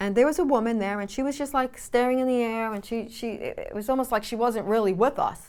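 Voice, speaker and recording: Speaking in a New York accent, a woman keeps a high pitch with ordinary pitch variation at a fairly quick pace, hardly pausing at all. The recording is very clean, with a silent background. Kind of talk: faith-based teaching talk. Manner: conversational with frequent fillers.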